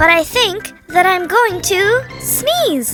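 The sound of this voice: Faint music sits in the background as a woman uses a put-on character voice at a slow pace. Her pitch is extremely high, her tone fairly bright and her intonation lively.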